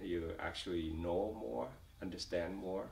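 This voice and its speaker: Someone with a Vietnamese accent speaks at a moderate pace with ordinary pitch variation, and room echo is audible. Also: man. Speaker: refugee, company executive. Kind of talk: oral history interview. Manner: halting, many fillers and repetitions.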